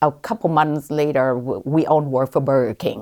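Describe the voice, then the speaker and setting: A woman talks in a very deep, low pitch with a Vietnamese accent. The recording is very clean, with a silent background. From Vietnam, then Columbus, Ohio from age 14. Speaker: physician, OB-GYN. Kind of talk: interview. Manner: hesitant, many fillers.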